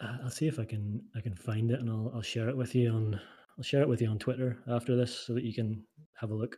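Speaking at a very fast pace, a man with medium pitch uses a dark, mellow tone that is somewhat breathy, his intonation monotone and flat. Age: 30s. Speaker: product designer and model builder. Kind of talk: casual chat.

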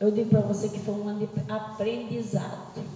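Moderate pace from a woman, with audible room echo and noticeable background noise. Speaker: pastor. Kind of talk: sermon. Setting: church.

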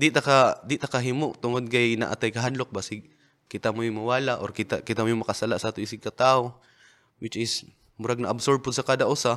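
Very clean and free of background sound, this recording has a man talking at a very fast pace. His medium pitch stays monotone and flat. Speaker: rapper and battle league organizer. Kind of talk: casual interview chat. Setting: studio.

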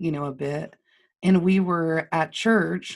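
On a very clean recording with a silent background, a woman speaks fairly slowly at a fairly low pitch in a monotone, flat intonation. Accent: Texan. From Lubbock, Texas. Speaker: marketing business owner. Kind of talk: casual interview conversation.

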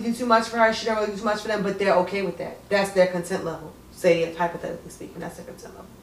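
Amid audible room echo and noticeable background noise, a woman with a medium pitch talks at a very fast pace. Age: 20s. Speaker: podcast co-host. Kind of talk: casual chat.

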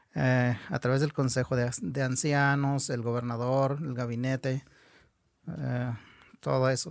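At a fairly slow pace, a man talks with fairly even intonation and a medium pitch. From Nayarit, Mexico (Huichol community). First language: Huichol (Wixárika) (speaking Spanish). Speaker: Huichol artist and teacher. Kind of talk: interview conversation.

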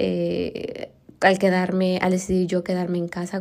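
A woman's medium-pitched voice, dark and mellow in tone, in a Mexican accent at a fairly slow pace. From Mexico. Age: 30s. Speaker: podcast host. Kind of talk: casual monologue. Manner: halting, many fillers.

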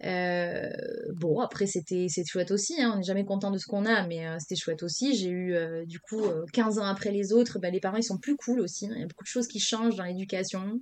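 This is an ordinary speaking voice with ordinary pitch variation. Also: woman. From Senegal. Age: 30s. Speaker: entrepreneur. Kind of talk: casual interview.

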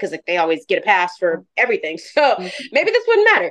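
A woman speaks with lively intonation. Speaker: fashion model. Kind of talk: casual interview chat. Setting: remote call from abroad.

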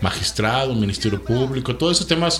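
A man's medium-pitched voice carries through audible room echo, with noticeable noise in the background. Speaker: lawyer. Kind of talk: casual chat.

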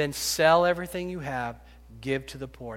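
On a very clean recording with a silent background, a man with an ordinary speaking voice talks at a fairly quick pace and fairly high pitch with ordinary pitch variation. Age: 50s. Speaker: pastor. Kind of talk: sermon. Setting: church.

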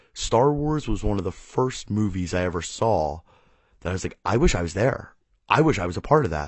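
Somewhat breathy, a man speaks in a fairly low register. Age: 30s. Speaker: podcast host. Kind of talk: solo monologue.

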